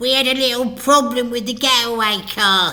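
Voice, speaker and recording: A man puts on a character voice with an extremely high pitch. His intonation stays fairly even. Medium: read story.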